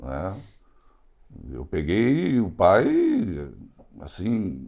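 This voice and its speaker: A man talks at a very slow pace. Audible echo fills the room around him. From southern Brazil, Rio Grande do Sul (Encantado). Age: 70s. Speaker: foundation engineer. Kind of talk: interview.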